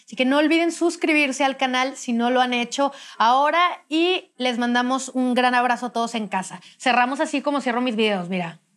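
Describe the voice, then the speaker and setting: A woman with a high-pitched voice speaks at a moderate pace, showing ordinary pitch variation and hardly any pauses. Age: 30s. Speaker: podcast host. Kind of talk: casual interview.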